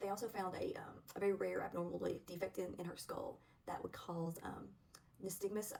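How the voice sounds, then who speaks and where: A woman's relaxed tone in a Southern US accent. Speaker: spiritual vlogger, witch. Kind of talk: casual talk to camera. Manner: relaxed, hesitant with fillers.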